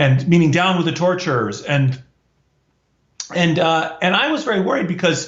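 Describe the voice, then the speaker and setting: With an American accent and a normal speaking voice, a man speaks at a moderate pace and a fairly high pitch, his pitch varying in an ordinary way. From US, Washington DC. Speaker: professor. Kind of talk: interview storytelling.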